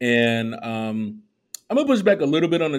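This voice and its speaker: In a very clean recording with a silent background, a man with an American accent speaks in a plain, everyday voice at a moderate pace, with ordinary pitch variation. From Chicago. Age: 40s. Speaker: podcast host. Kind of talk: casual chat.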